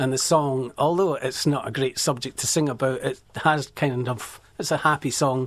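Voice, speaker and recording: In a Scottish accent, a man with a medium pitch speaks at a moderate pace with fairly even intonation. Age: 60s. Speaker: musician. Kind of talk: radio interview. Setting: radio studio.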